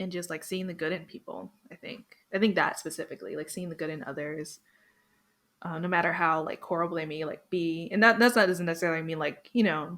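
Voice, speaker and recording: A woman with an American accent and a plain, everyday voice talks at a fairly low pitch and a fairly quick pace. Her intonation is fairly even, while her loudness swings widely. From Florida, US. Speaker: podcast guest, anime fan. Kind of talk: casual chat.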